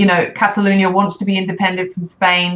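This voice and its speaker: In a British accent, the speaker talks at a fairly quick pace with monotone, flat intonation over noticeable background noise. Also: woman. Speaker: life coach for mothers. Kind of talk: interview. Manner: loud.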